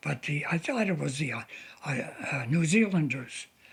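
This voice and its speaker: Lively intonation marks a man's fairly high voice, heard over noticeable background noise. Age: 80s+. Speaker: war veteran. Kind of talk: interview answer.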